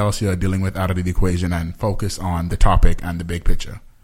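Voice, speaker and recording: Here a man is speaking. He talks at a fairly quick pace. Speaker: podcast co-host. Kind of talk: casual chat. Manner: direct.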